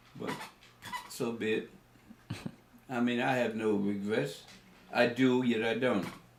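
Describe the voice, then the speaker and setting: Against noticeable background noise and audible room echo, a man talks with fairly even intonation. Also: long, frequent pauses. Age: 80s+. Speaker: elderly interviewee recounting school segregation. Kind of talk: oral history interview. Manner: halting, many fillers and restarts.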